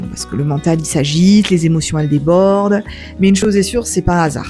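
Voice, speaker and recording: Music plays in the background behind a woman. Her voice is fairly low in pitch with ordinary pitch variation. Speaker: wellbeing practitioner. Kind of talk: introspective voice-over. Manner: gentle, soft-spoken.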